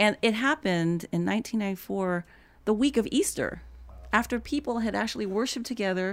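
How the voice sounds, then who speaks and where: Speaking very fast with lively intonation, this voice has an American accent, captured in a very clean recording against a silent background. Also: woman. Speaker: writer and bridge builder on race. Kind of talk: casual interview conversation. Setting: studio.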